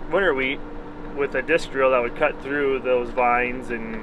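The speech moves at a fairly quick pace. Noticeable background noise sits behind it. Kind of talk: casual vlog commentary. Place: farm machine. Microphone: phone near.

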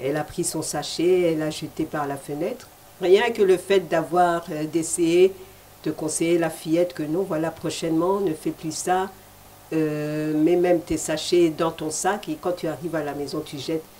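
A woman with a plain, everyday voice talks at a fairly slow pace and fairly low pitch, her intonation fairly even, over light background noise. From DR Congo. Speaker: TV host. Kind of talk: TV interview. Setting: TV studio. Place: studio. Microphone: handheld.

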